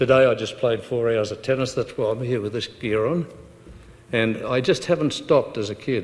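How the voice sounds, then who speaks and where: A man speaks in an Australian accent at a moderate pace. His pitch is medium. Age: 80s+. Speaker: prostate cancer survivor. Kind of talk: talk to a support group meeting. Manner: outgoing.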